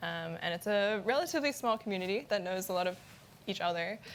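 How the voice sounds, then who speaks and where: A woman's plain, everyday voice in an American accent, medium in pitch with ordinary pitch variation. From USA. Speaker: PhD student, cybersecurity researcher. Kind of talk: panel discussion.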